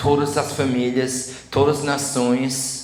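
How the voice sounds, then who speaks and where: A man's medium-pitched voice carries audible room echo along with noticeable background noise. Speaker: preacher. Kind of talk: sermon.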